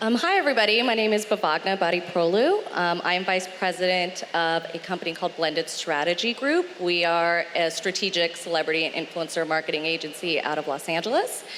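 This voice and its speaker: Fairly low female voice at a fairly quick pace, very even in loudness, with hardly any pauses and noticeable background noise. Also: ordinary pitch variation. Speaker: marketing agency vice president. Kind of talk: panel discussion.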